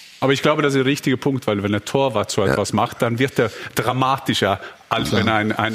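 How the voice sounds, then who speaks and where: Noticeable background noise sits behind a man talking at a very fast pace. His pitch is medium, with ordinary pitch variation. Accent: Norwegian. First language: Norwegian (speaking German). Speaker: football pundit, former striker. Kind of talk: talk show panel discussion.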